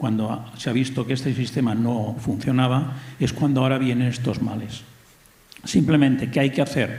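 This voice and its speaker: With audible room echo, a man at a medium pitch speaks at a moderate pace with fairly even intonation. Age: 60s. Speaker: audience member asking a question. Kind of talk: audience comment at public debate.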